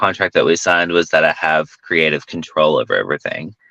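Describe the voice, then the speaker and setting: With a Southern accent, a man speaks at a moderate pace in a very deep, low pitch and a bright, sharp tone, with a dry, close sound with no echo. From US South. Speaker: film director and actor. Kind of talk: interview conversation.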